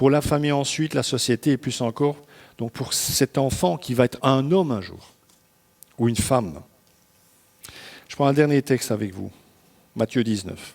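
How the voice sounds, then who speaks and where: Speaking at a moderate pace with long, frequent pauses, a man's medium-pitched voice shows ordinary pitch variation in a dry, close recording with no echo. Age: 60s. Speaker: pastor. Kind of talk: sermon. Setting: church service. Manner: conversational, informal asides.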